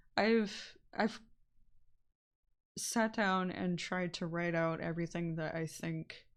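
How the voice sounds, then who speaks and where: Soft-spoken and at a very slow pace, a woman speaks with fairly low pitch on a very clean recording with a silent background. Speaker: streamer. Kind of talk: casual chat. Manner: flat-toned; halting.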